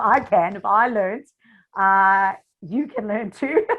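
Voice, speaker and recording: A woman talks in a South African accent. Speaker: social media marketing coach. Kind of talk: interview. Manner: animated.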